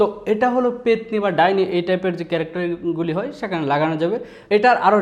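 A man speaks with lively intonation. Noticeable background noise runs behind him. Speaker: voice actor. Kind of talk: voice demo talk to camera.

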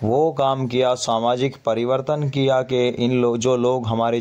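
The man's delivery moves at a fairly slow pace. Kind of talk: walking tour commentary on religious history. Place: church. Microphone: phone near.

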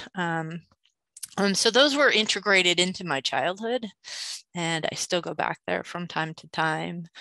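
A woman's fairly low, bright, sharp voice at a fairly slow pace, lively intonation and big swings in loudness, dry with no echo over a quiet background. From New Mexico. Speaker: school faculty member. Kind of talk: casual discussion. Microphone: video call.

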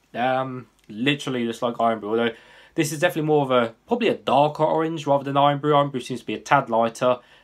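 An English accent at a very fast pace, with ordinary pitch variation and a quiet background. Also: man. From England. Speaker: YouTube drink reviewer. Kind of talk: product review. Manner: casual, hesitant with fillers. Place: home room. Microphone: webcam.

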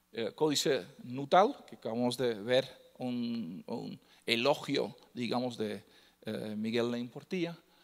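Against a quiet background, a man with a Dutch accent talks at a very slow pace in a medium pitch. His pitch variation is ordinary, but his loudness swings a lot. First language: Dutch (speaking Spanish). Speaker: lecturer on Mixtec codices. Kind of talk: lecture. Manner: halting, many fillers. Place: hall.

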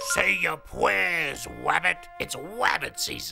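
A raspy, cartoonish character voice moves at a fairly slow pace. Faint music sits in the background. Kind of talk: cartoon voice impression.

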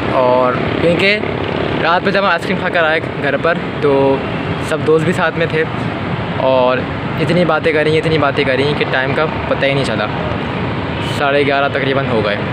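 Over loud background noise, a man talks at a fairly slow pace with long, frequent pauses and ordinary pitch variation. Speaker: vlogger. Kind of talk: casual vlog chat. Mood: cheerful, smiling. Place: street. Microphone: phone near.

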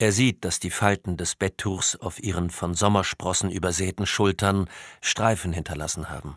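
Very deep and low, the man's voice moves at a moderate pace with fairly even intonation. The sound is dry and close with no echo, very clean over a silent background. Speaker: audiobook narrator. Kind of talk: audiobook narration, scripted crime thriller read aloud with character voices. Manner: measured, atmospheric, suspenseful.

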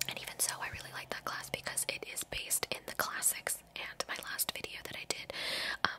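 Whispering, a woman speaks at a fairly quick pace. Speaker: ASMR creator. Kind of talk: casual talk to camera. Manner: whispered, soft-spoken. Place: home room. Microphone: studio mic.

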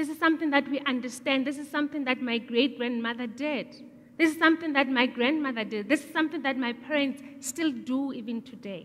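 A woman speaks quite fast with a high pitch, big swings in loudness and fairly even intonation. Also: hardly any pauses. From South Africa. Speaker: entrepreneur; speaker. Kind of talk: public talk. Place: stage. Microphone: headset.

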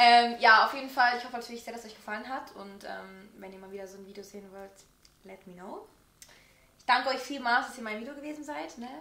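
A woman talks at a very fast pace with a high pitch. Background noise is noticeable behind her. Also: ordinary pitch variation, big swings in loudness. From Switzerland. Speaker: YouTuber. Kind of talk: casual chat.

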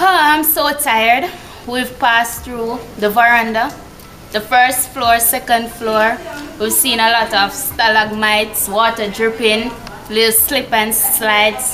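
The voice moves at a fairly slow pace with fairly even intonation over light background noise. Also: woman. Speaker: presenter. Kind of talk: casual presenter commentary. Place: tunnel cave.

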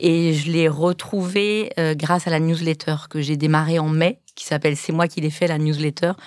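Speaking at a moderate pace with hardly any pauses, this woman has a very deep, low pitch and fairly even intonation. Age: 50s. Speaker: food blogger and cookbook author. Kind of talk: casual chat. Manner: hesitant, many fillers.

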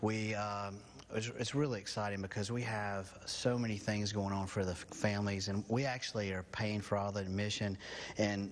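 A man's fairly low voice at a moderate pace, monotone and flat in intonation. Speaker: guest. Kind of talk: interview answer. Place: studio. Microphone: lapel.

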